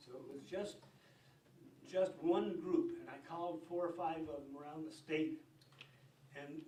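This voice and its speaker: A high-pitched man's voice, fairly slow and fairly even in intonation, with audible room echo and noticeable background noise. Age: 70s. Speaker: retired fisheries advisory committee chairman. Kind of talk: storytelling at public meeting. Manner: halting.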